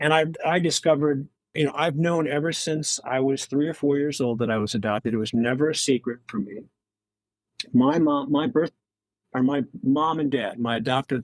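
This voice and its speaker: The recording has a dry, close sound with no echo. A man speaks at a moderate pace, fairly high in pitch, with ordinary pitch variation. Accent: American. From Wisconsin, US Midwest. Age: 60s. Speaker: author. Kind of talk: podcast interview. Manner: halting.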